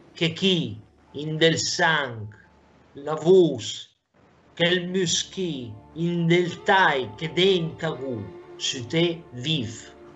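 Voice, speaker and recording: Faint music plays in the background as a man with a fairly high pitch speaks very slowly, using lively intonation and long, frequent pauses. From Lombardy. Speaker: dialect poet. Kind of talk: poetry reading in Lombard dialect. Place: home room. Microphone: webcam.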